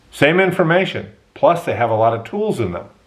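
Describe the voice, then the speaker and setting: Audible room echo surrounds a man speaking with lively intonation. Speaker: university professor and podcaster. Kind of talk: podcast monologue. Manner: slow-paced.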